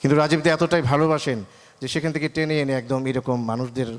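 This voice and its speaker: An ordinary speaking voice from a man, with ordinary pitch variation. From Bangladesh, Brahmanbaria (Nabinagar). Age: 50s. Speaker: journalist. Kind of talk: speech at event.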